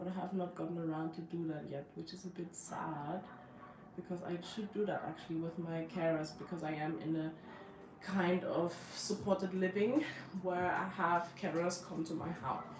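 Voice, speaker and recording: Against noticeable background noise and audible room echo, a woman speaks at a moderate pace with fairly even intonation. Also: fairly low pitch for a woman. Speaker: lifestyle vlogger. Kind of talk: casual live stream talk. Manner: halting, many fillers.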